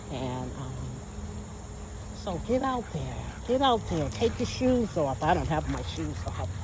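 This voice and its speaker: A woman at a fairly slow pace with long, frequent pauses, audible room echo and noticeable background noise. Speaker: vlogger. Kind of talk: casual vlog talk. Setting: outdoors in nature. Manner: stutters at times.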